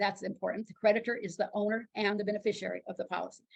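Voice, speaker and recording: At a very fast pace, a woman speaks in a fairly high voice. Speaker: insurance licensing instructor. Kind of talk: lecture.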